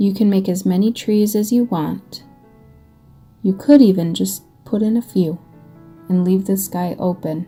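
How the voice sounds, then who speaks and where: Soft-spoken with an American accent, the speaker goes at a fairly slow pace with ordinary pitch variation and long, frequent pauses, over music in the background. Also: woman, medium pitch for a woman. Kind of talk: ASMR paint-along tutorial. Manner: soft-spoken, calming.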